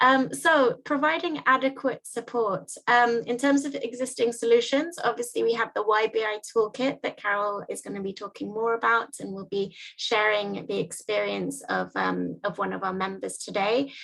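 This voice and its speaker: Speaking at a moderate pace with hardly any pauses, a woman has a plain, everyday voice, a fairly high pitch and ordinary pitch variation. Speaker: workshop facilitator. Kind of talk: online presentation.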